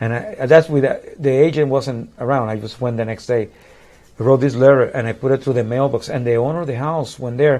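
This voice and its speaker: With a Puerto Rican accent, a man speaks at a fairly quick pace with fairly even intonation. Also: medium pitch for a man. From Puerto Rico. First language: Spanish. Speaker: musician. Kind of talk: casual chat. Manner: halting.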